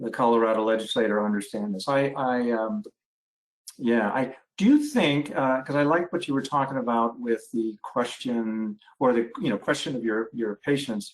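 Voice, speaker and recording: A man talks at a moderate pace in a medium pitch. It is an unremarkable speaking voice with ordinary pitch variation. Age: 60s. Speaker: family physician, webinar moderator. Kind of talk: webinar panel discussion.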